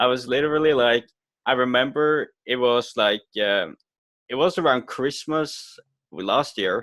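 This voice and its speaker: An unremarkable speaking voice from a man at medium pitch, fairly slow, with ordinary pitch variation and very even loudness, in a dry, close, echo-free sound on a very clean recording against a silent background. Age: 20s. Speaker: marketing agency owner. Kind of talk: interview.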